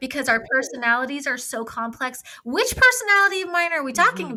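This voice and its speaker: Over noticeable background noise, a woman speaks very fast in a raised, projected voice, her high pitch making very wide swings. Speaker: mental health clinician discussing psychology. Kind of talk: casual conversational with clinical terms. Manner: sassy, clinical delivery.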